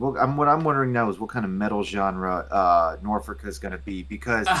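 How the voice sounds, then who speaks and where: Fairly low-pitched man with an American accent, fairly quick pace and very wide pitch swings, amid audible room echo and noticeable background noise. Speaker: comics reviewer. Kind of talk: casual chat. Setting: live stream. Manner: animated.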